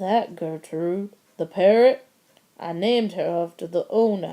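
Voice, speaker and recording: A woman's put-on character voice, mumbling at a medium pitch and a moderate pace. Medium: read story. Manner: mumbling, hesitant.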